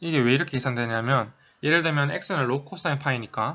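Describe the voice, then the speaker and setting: Here a man talks at a fairly high pitch. He moves at a fairly quick pace with ordinary pitch variation. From South Korea. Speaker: math tutor, undergraduate student. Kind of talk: tutorial. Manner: casual, with many fillers.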